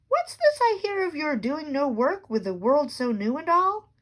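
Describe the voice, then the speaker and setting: A woman puts on a character voice, pitched high. Her pitch swings very widely at a moderate pace. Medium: read story. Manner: stern, dryly humorous.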